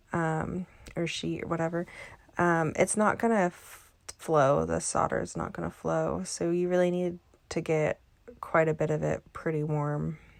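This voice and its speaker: A soft-spoken woman at a moderate pace. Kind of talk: tutorial. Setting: voiceover. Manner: halting.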